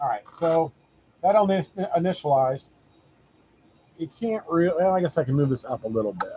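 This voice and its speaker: Loud and lively in intonation, a man speaks at a fairly quick pace in a high pitch, with long, frequent pauses. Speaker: RC hobbyist YouTuber. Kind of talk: tutorial. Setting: workshop with machines running.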